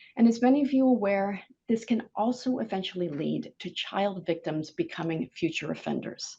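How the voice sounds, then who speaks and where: A woman with an American accent talks at a moderate pace with lively intonation. Her tone is dark and mellow, and somewhat breathy. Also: medium pitch for a woman, hardly any pauses. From US Pacific Northwest, Seattle. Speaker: government online safety regulator. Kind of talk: conference keynote talk.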